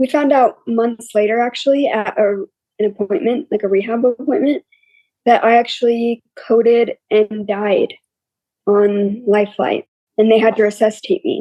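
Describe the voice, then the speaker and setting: A woman speaks at a moderate pace with fairly high pitch. Her pitch varies in an ordinary way. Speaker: brain injury survivor. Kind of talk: interview.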